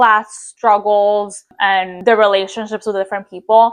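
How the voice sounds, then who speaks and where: A woman speaks at a moderate pace with an Italian accent. Her pitch sits in the middle, and her intonation stays flat and monotone. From Italy. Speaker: book reviewer. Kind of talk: book recommendations video. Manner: casual with frequent fillers.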